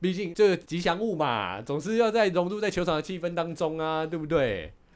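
Male voice with vocal fry, in a very clean recording with a silent background. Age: 40s. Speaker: podcast host. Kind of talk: casual chat.

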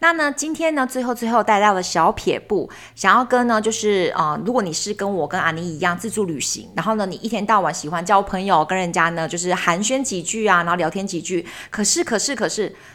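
With lively intonation and hardly any pauses, a woman talks at a fairly quick pace in an ordinary speaking voice. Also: medium pitch for a woman. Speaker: travel podcast co-host. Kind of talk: casual chat.

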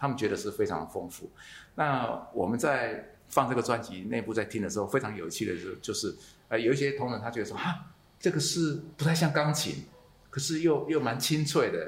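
A man with vocal fry and a fairly high pitch talks at a fairly quick pace. His intonation is lively, and audible room echo is present. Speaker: podcast host. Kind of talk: casual interview. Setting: coffee shop in Taichung.

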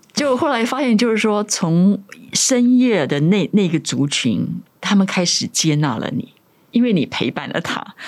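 A woman speaks at medium pitch, with very wide pitch swings and a fairly slow pace. Noticeable background noise can be heard. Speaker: author and former radio host. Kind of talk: interview.

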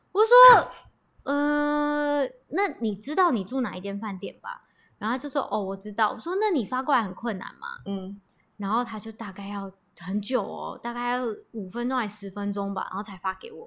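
Lively in intonation and bright, sharp in tone, a woman speaks at a moderate pace with big swings in loudness. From Taiwan. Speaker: podcast guest sharing a personal story. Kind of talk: casual chat.

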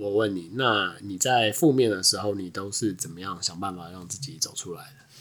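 The speaker keeps a moderate pace with hardly any pauses, ordinary pitch variation, and big swings in loudness. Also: man, fairly low pitch for a man. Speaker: podcast co-host. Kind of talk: casual chat.

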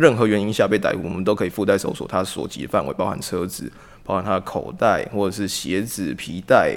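This man has an unremarkable speaking voice, fairly low in pitch, moving at a fairly quick pace. The recording is very clean, with a silent background. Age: 20s. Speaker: police officer. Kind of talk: casual discussion.

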